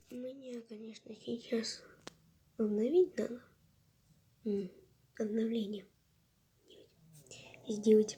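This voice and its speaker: The speaker goes at a very slow pace, leaving long, frequent pauses. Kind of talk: casual gaming commentary.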